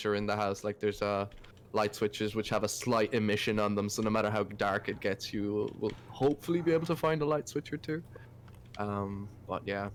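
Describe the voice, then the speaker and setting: Delivered at a moderate pace with an Irish accent, the speech shows ordinary pitch variation. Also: man. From Ireland. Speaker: indie game developer. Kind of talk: casual chat.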